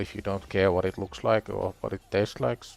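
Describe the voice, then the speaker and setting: A man with an ordinary speaking voice, fairly low in pitch, at a moderate pace. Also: dry, close sound with no echo. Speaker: gaming livestreamer. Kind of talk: casual livestream chat. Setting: live stream with music playing.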